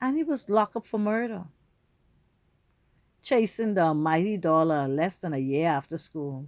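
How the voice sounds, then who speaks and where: A woman with a Bahamian accent talks at a moderate pace, leaving long, frequent pauses, over a quiet background. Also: fairly low pitch for a woman, lively intonation. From Bahamas. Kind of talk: casual storytelling to camera.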